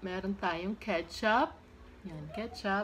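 Over noticeable background noise, a woman speaks very slowly with fairly even intonation. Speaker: mukbang vlogger host. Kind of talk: casual vlog chat. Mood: cheerful. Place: home room. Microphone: phone near.

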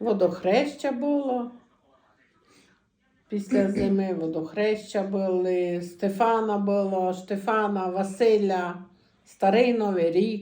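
In a Transcarpathian accent, a woman with a dark, mellow tone and medium pitch talks at a very slow pace, with ordinary pitch variation and long, frequent pauses. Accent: Transcarpathian Ukrainian dialect. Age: 60s. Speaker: dialect informant. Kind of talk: dialect interview answer, childhood memories.

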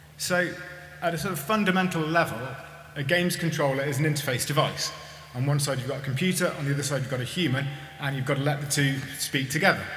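A man talks at a very fast pace with fairly even intonation. Audible room echo and light background noise are present. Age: 40s. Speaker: maker giving a conference talk; conference speaker. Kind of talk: conference talk. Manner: hesitant, with many fillers. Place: hall. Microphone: podium.

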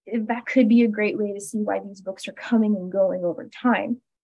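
Over a quiet background, a woman with an American accent talks at a moderate pace in a fairly high, somewhat breathy voice with fairly even intonation. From US. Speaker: graduate student; presenter. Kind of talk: lecture. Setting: video call. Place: home room. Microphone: video call.

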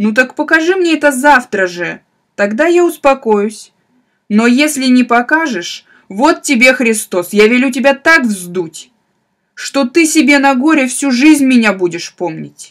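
Her pitch is high and her intonation lively. The woman speaks at a fairly slow pace. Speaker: audiobook narrator. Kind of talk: audiobook reading of classic literature.

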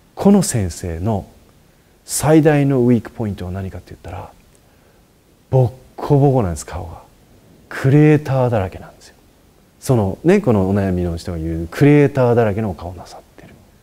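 A dark, mellow tone with very wide pitch swings, big swings in loudness, and long, frequent pauses. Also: man, medium pitch for a man, moderate pace. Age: 40s. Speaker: Buddhist monk answering questions. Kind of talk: advice talk. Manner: casual, with many fillers. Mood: warm, lightly humorous. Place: home room. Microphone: lapel.

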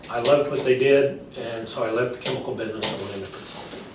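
A man with an American accent speaks with ordinary pitch variation, audible room echo and noticeable background noise. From Texas. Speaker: political candidate. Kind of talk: interview. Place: meeting room. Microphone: camera far.

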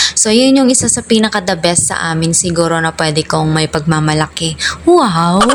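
A woman talks at a moderate pace and a fairly low pitch. Her intonation is lively, with noticeable background noise behind her. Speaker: vlogger and teacher. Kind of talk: casual vlog narration.

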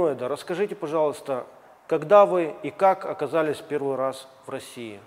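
The pitch moves in an ordinary way. The speaker is a man. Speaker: TV host. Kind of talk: interview. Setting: gym. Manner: formal. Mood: polite, curious. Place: gym. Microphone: lapel.

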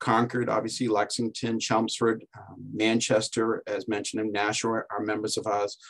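Against a quiet background, a man talks at a moderate pace in a monotone, flat delivery. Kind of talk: presentation talk in a webinar. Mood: relaxed, lightly joking. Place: office. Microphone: video call.

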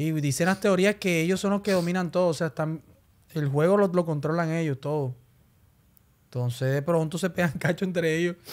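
The intonation stays fairly even. The pace is fairly quick. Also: man, high pitch for a man. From Colombia, Barranquilla; Colombia. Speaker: urban music singer; podcast guest. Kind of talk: casual interview chat. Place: studio. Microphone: studio mic.

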